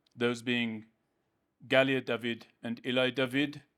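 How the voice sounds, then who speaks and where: A man with a British accent is heard on a very clean recording against a silent background. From United Kingdom. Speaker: speaker at a public advocacy event. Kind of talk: public address. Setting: podium in community centre hall with audience. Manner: formal.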